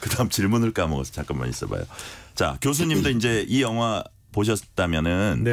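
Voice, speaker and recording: This man talks at a moderate pace, his fairly low voice moving through very wide pitch swings. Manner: dignified.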